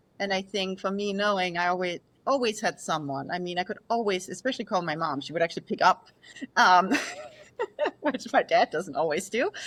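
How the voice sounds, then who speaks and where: A woman with a Danish accent speaks at a fairly quick pace at a medium pitch, her pitch varying in an ordinary way. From Denmark, rural. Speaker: sleep scientist. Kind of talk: podcast interview.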